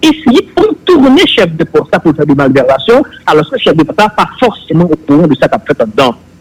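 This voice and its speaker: Recorded dry and close with no echo, a man speaks fairly quickly at a high pitch with very wide pitch swings and very even loudness. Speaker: public official on investigative body. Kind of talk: political talk show discussion.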